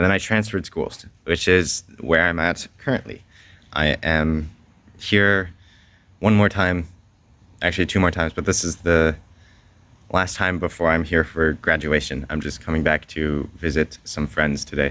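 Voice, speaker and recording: In a very clean recording with a silent background, a man with a very deep, low pitch speaks at a moderate pace in fairly even intonation, leaving long, frequent pauses. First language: French. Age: young. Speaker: homeschooled graduate. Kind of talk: vlog. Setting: at a school. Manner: casual.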